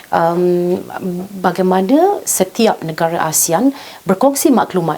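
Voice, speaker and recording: A woman talks in a Malaysian accent. Noticeable background noise sits behind her voice. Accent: Malaysian Malay. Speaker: TV news talk show host. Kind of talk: formal current-affairs interview. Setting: studio.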